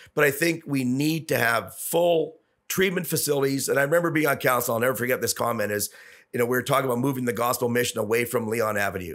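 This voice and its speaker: With a Canadian accent, a man speaks at a very fast pace and medium pitch, showing ordinary pitch variation and very even loudness on a very clean recording with a silent background. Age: 60s. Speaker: businessman and former city councillor. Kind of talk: podcast interview.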